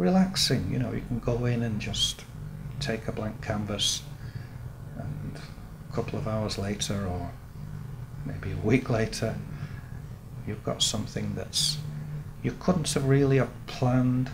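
A man speaks with long, frequent pauses. Noticeable background noise runs beneath him. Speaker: painter. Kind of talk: interview answer. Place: workshop.

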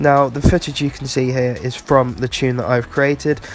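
With a British accent, a man speaks at a fairly quick pace. His fairly high voice comes over noticeable background noise. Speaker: gaming YouTuber. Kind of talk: tutorial. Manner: casual, fillers.

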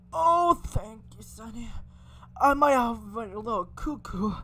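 A woman puts on a character voice, pitched fairly high and paced fairly slowly. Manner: cranky, scolding.

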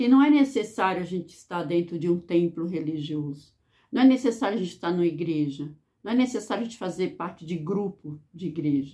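Her tone is dark and mellow, with lively intonation. The woman speaks over a quiet background. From Brazil. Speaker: teacher and spirituality youtuber; teacher, spirituality youtuber. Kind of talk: reflective monologue. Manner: hesitant, with filler 'é'. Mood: earnest, reflective. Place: home room. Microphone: phone near.

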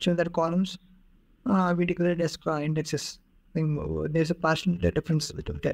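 The speaker moves at a fairly quick pace yet leaves long, frequent pauses, the intonation monotone and flat. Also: man, high pitch for a man. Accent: Indian. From India, Andhra Pradesh (Krishna District); Andhra Pradesh, India. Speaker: job candidate; candidate. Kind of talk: mock job interview. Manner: halting, many fillers. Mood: nervous, searching for words. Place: home room. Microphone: video call.

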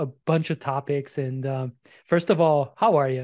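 A plain, everyday voice at a moderate pace, with fairly even intonation against a quiet background. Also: man. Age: 40s. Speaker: podcast host. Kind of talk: casual interview chat. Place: home room. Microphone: studio mic.

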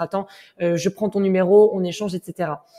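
A woman at medium pitch talks at a fairly quick pace in an ordinary speaking voice, with fairly even intonation and a dry, close sound with no echo. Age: 30s. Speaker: entrepreneur, startup co-founder. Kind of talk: interview.

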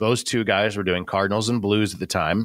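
A man with a normal speaking voice, fairly low in pitch with ordinary pitch variation, is heard on a very clean recording with a silent background. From St. Louis, Missouri, USA. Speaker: sports broadcaster and radio play-by-play announcer. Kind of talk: interview answer, conversational storytelling about his career.

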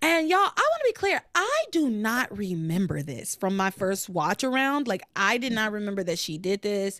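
A woman with an American accent speaks at a moderate pace in a bright, sharp tone with very wide pitch swings. The sound is dry with no echo, and the background is quiet. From US South. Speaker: podcast host. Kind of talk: casual chat. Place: home room. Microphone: studio mic.

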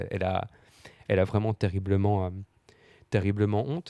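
A man's fairly low, dark, mellow voice, dry with no echo, against a quiet background. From eastern France, Doubs (Audincourt); eastern France. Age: 20s. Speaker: novelist; guest. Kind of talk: literary panel discussion. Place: studio. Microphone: handheld.

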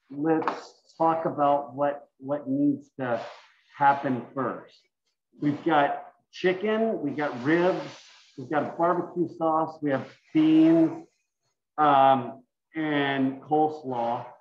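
A man speaks at a very slow pace with long, frequent pauses and ordinary pitch variation. Audible room echo and light background noise are present. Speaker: culinary instructor. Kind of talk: tutorial. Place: kitchen. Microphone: video call.

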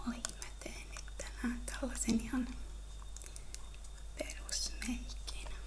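Against loud background noise, a woman speaks at a very slow pace with long, frequent pauses. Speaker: ASMR creator. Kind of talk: ASMR makeup tutorial, casual talk to camera. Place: home room. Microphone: studio mic.

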